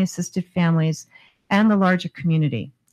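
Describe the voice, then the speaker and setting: Speaking at a very fast pace, a woman with a somewhat breathy, medium-pitched voice uses ordinary pitch variation. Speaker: housing authority executive. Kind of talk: formal presentation.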